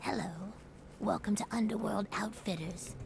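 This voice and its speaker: A female-sounding voice at medium pitch performs a put-on character voice at a moderate pace. Clear background noise can be heard behind it. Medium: video game. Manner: friendly, eager to please.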